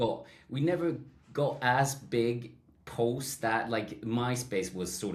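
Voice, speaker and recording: In a Swedish accent, a man speaks with audible room echo. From Sweden. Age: 30s. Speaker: songwriter and music producer. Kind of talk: casual chat.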